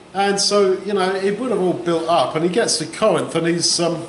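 A man with a high pitch talks at a moderate pace. Audible room echo and light background noise surround him. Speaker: bible teacher. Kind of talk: sermon. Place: hall.

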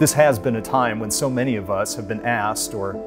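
A man speaks at a fairly quick pace while clear music in the background plays. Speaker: minister. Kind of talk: worship introduction and prayer. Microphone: lapel.

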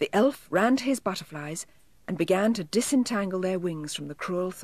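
Lively intonation in a natural reading voice

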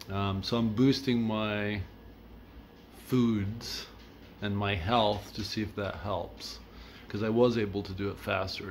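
Audible room echo surrounds a man with a fairly low pitch. His intonation is monotone and flat. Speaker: fitness vlogger. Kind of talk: casual monologue.

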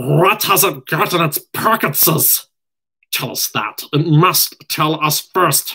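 Putting on a character voice, a man speaks at a fairly slow pace in a fairly high, raspy, hissing voice.

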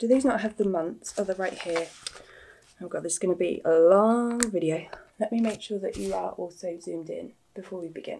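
A woman speaks at a moderate pace and fairly low pitch. Her tone is dark and mellow, with vocal fry and a slightly husky edge. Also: ordinary pitch variation.

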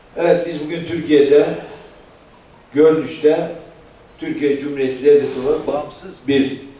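In a room with audible echo, a man with a fairly high pitch talks at a moderate pace with fairly even intonation and long, frequent pauses. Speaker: party official. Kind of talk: political speech. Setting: meeting hall with audience. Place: hall.

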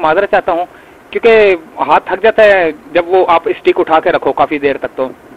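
At a fairly quick pace, a man talks in a dry, close sound with no echo.

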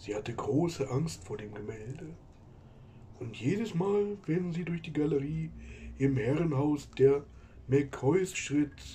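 Using a cartoonish character voice of fairly high pitch, a man speaks at a fairly slow pace with long, frequent pauses over clear background noise. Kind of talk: spooky story narration. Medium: puppet.

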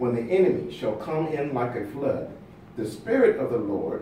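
A man speaks at a moderate pace with audible room echo and light background noise. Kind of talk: scripture reading. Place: meeting room.

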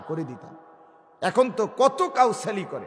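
A man talks with very wide swings in pitch. There is noticeable noise in the background. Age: 40s. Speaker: Islamic preacher. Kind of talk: sermon. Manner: animated.

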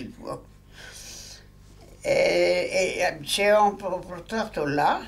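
The speaker is a man. He has a Polish accent. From Poland. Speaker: war veteran. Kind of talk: interview answer. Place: home room.

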